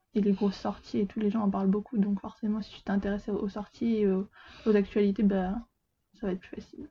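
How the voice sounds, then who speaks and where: In a normal speaking voice, a woman talks at a fairly quick pace. Her pitch is medium, and her intonation is fairly even. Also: big swings in loudness. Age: 20s. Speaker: apprentice bookseller. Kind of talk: casual chat.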